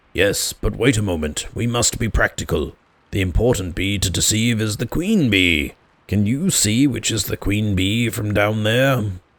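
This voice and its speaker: In a very clean recording with a silent background, a man uses a put-on character voice at a fairly low pitch. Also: moderate pace. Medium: read story. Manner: earnest, solemn, slightly anxious.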